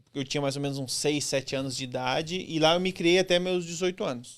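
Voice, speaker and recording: This is a man speaking with a southern Brazilian accent. The recording is very clean, with a silent background. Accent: gaúcho accent, noticeable. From Brazil, rural Rio Grande do Sul (Santa Cruz do Sul). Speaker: former military man. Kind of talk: interview.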